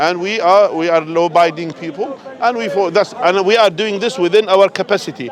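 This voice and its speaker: A man's high-pitched voice with ordinary pitch variation, at a fairly quick pace with hardly any pauses, over noticeable background noise. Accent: Arabic. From Jordan. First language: Arabic. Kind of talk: heated street debate. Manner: repetitive, stammering.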